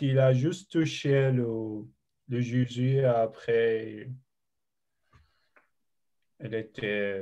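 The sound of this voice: Speaking very slowly, a man has a medium pitch and a dark, mellow tone. His intonation is fairly even, with long, frequent pauses.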